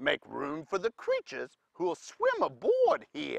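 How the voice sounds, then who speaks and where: Delivery is fairly slow. It comes in a put-on character voice. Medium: read story.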